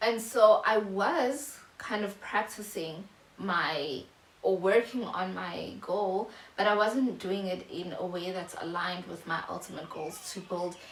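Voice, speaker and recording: Noticeable background noise and audible room echo surround a woman of medium pitch who speaks fairly slowly with ordinary pitch variation. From South Africa. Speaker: YouTuber. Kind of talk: casual vlog monologue. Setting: home video recording, natural lighting. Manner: halting, many fillers.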